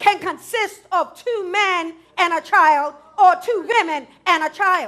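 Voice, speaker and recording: Against a quiet background, a woman with an extremely high pitch and a bright, sharp tone projects her raised voice at a very slow pace with ordinary pitch variation. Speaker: preacher. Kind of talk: sermon delivery. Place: church. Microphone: headset.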